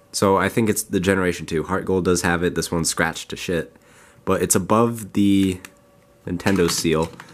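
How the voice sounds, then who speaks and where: With noticeable background noise behind him, a man talks at a moderate pace in a very deep, low voice. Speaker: gaming YouTuber. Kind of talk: unboxing and game testing video. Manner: casual, conversational.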